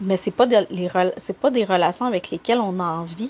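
A woman speaks in a Quebec accent. Her pitch is medium, with ordinary variation. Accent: Québécois French. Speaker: life coach. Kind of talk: live stream coaching talk. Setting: live video stream. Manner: animated. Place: home room. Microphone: unstable wifi connection, cutting out; earbuds.

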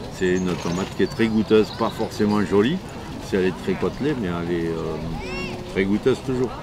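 A man talks at a moderate pace in a fairly low voice with ordinary pitch variation. The sound is dry with no echo, though background noise is noticeable. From southwest France, Marmande (Lot-et-Garonne); southwest France. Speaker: market gardener, heirloom tomato grower; seller. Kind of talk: interview. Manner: casual, hesitant with fillers. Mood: warm, enthusiastic. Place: market.

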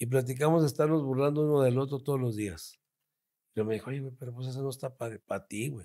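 A man at a very fast pace, medium pitch, a dark, mellow tone and ordinary pitch variation, in a very clean recording with a silent background. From Torreón, Coahuila, northern Mexico. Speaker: comedian. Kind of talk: casual chat.

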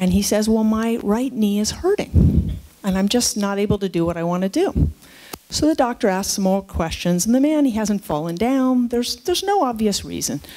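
With lively intonation and an American accent, a woman talks at a medium pitch and a moderate pace. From San Francisco, California. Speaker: geriatrician and professor of medicine; professor of medicine. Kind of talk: keynote lecture. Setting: lecture hall with live audience. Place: hall. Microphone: headset.

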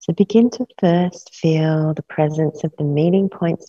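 A woman's very deep, low voice, dark and mellow in tone and somewhat breathy, with ordinary pitch variation, a moderate pace, a dry sound with no echo and a quiet background. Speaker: yoga nidra teacher. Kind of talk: guided meditation; guided meditation instruction. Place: studio.

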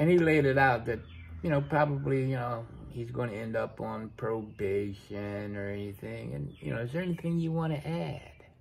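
Somewhat breathy and at a moderate pace, a man's voice makes very wide pitch swings over light background noise. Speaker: vlogger. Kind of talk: casual vlog chat. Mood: frustrated, venting. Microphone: phone near.

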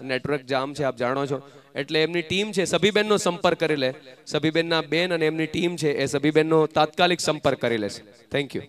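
A man uses a normal speaking voice at a fairly high pitch with ordinary pitch variation over light background noise. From Gujarat. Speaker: event emcee. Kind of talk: stage announcements. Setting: stage with audience. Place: stage. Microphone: handheld.

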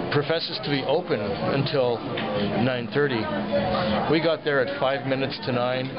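Clear music sits in the background as a man talks at a moderate pace with ordinary pitch variation. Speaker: diner making a video review. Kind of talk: casual vlog chat. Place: cafe. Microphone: phone near.

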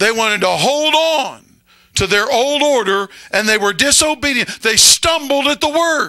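A man speaks in a raised, projected voice at an extremely high pitch, with a bright, sharp, animated tone, lively intonation and a moderate pace against a quiet background. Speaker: pastor. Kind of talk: sermon to a live congregation. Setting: church with congregation. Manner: animated, call-and-response preaching, pausing for amens; emphatic, conversational. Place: church. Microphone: handheld.

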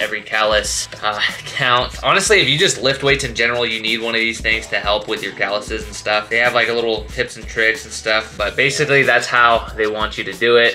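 A man talks at a fairly quick pace with hardly any pauses. Faint music plays in the background. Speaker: fitness vlogger. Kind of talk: casual vlog chat. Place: home room. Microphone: phone near.

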